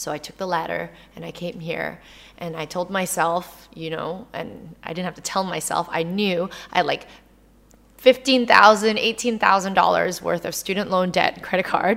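In an ordinary speaking voice, a woman of medium pitch speaks fairly slowly, with ordinary pitch variation and big swings in loudness. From Canada. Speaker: actress and entrepreneur. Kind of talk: casual interview.

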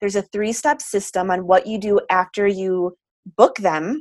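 A woman with a medium pitch at a moderate pace. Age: 30s. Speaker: business coach. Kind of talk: casual interview. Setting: video call.

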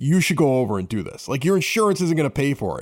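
A man with a Chicago accent at a very fast pace and a fairly high pitch, with very wide pitch swings. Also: very clean recording, silent background. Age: 40s. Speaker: podcast host. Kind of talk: casual chat. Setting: home studio in a basement.

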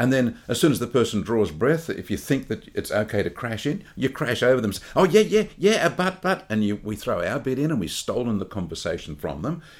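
A man talks at a fairly quick pace with hardly any pauses. His medium pitch swings very widely, with vocal fry. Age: 60s. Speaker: podcast co-host. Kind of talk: casual chat.

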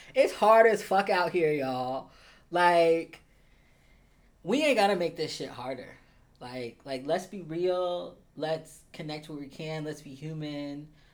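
A plain, everyday voice from a man with an American accent, fairly high in pitch, fairly slow, with ordinary pitch variation. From US Midwest (Columbus, Ohio). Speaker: spiritual life coach. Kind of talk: casual chat.

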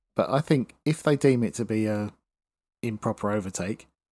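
In a very clean recording with a silent background, a man with a normal speaking voice and fairly low pitch talks at a moderate pace. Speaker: podcast co-host. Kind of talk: casual chat.

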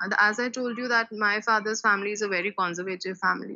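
A woman with an Indian accent speaks at a fairly quick pace in a fairly high voice. Her tone is bright and sharp, and her intonation fairly even. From India, Delhi. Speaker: school teacher. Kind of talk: personal testimony interview.

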